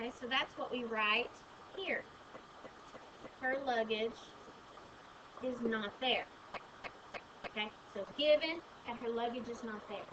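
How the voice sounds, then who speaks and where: Amid noticeable background noise and audible room echo, a woman with a high pitch speaks at a fairly slow pace, with ordinary pitch variation and long, frequent pauses. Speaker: math teacher. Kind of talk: lecture.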